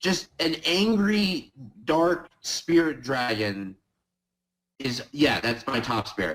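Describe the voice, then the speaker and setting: This man's voice sits fairly high, swings very widely in pitch, and carries vocal fry. He talks at a very slow pace. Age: 20s. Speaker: card game player. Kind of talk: casual podcast interview.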